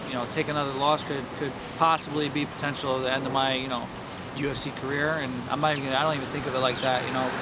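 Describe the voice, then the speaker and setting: A man rushes along at a very fast pace over loud background noise. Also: dry sound with no echo. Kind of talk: interview answer. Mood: serious, determined. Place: waterside.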